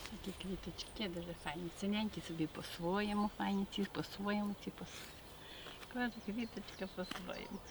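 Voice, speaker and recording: Speaking in a western Ukrainian accent, a woman uses a medium pitch and fairly even intonation at a moderate pace. Noticeable background noise can be heard. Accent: western Ukrainian Carpathian dialect. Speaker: village grandmother. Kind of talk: casual chat.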